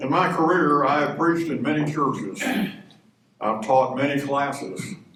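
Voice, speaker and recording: A man with an American accent, fairly high in pitch, at a moderate pace with ordinary pitch variation, amid audible room echo. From Texas, Dallas. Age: 80s+. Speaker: retired professor and minister. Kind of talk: speech at a church men's breakfast. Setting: church breakfast with audience.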